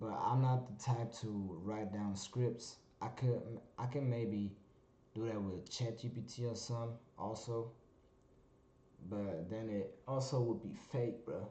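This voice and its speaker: A man with a medium pitch and a dark, mellow, somewhat breathy tone talks at a fairly slow pace with fairly even intonation and long, frequent pauses, with audible room echo. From Germany. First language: German. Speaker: vlogger. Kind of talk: casual monologue vlog. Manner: halting, many fillers.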